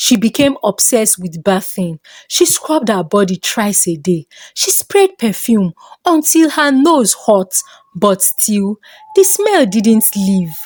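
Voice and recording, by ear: A woman speaks slowly at a medium pitch, with big pitch swings and few pauses. Her tone is slightly mellow, and the sound is dry and close with no echo.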